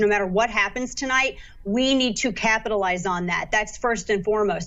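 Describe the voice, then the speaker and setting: Speaking at a fairly quick pace, a woman uses a fairly high pitch, ordinary pitch variation and an animated tone. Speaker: political commentator. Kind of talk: live election night commentary. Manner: fast.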